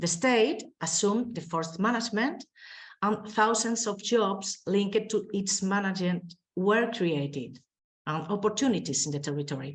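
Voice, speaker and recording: A woman with a Spanish accent speaks at a moderate pace and medium pitch, somewhat breathy and with lively intonation. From Spain. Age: 20s. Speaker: mayor. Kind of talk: conference presentation. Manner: halting.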